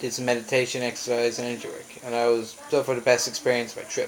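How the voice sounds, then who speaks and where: A man's medium-pitched voice at a fairly quick pace, over noticeable background noise. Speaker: traveller sharing his journey. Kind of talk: personal vlog monologue. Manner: fast.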